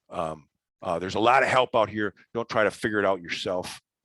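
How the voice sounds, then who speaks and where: Fairly quick and low-pitched, a man with an American accent speaks in a bright, sharp tone, the sound dry and close with no echo over a quiet background. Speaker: environmental specialist, trainer. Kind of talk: lecture. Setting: virtual training. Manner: fast; halting, repeats words.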